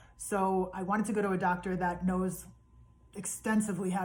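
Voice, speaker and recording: With monotone, flat intonation, a woman talks in a somewhat breathy voice. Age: 50s. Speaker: vlogger sharing health journey. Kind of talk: personal video diary. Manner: hesitant, many fillers.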